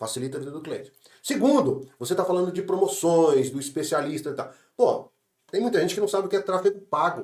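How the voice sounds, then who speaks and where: A man speaks very fast in a high voice with lively intonation. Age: 60s. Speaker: franchise business owner. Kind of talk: business podcast conversation.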